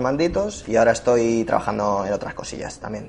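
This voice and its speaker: At a fairly quick pace, a man speaks in a normal speaking voice, medium in pitch with ordinary variation. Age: 30s. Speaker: podcast host, travel blogger. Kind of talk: casual chat.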